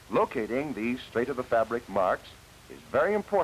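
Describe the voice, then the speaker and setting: A man talks at a fairly quick pace with lively intonation. He has a normal speaking voice. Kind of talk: educational film narration. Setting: old 1940s film soundtrack.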